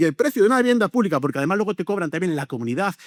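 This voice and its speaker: Racing along at a very fast pace, a man swings very widely in pitch, recorded very cleanly with a silent background and a dry, close sound with no echo. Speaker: local councillor. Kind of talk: panel debate. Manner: animated.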